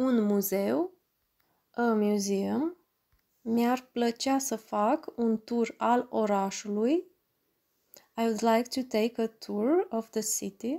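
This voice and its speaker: The recording is very clean, with a silent background. A woman with a fairly high pitch and a dark, mellow tone speaks at a very slow pace. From Romania. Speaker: language teacher. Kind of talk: language lesson, vocabulary drill. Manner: slow, deliberate enunciation.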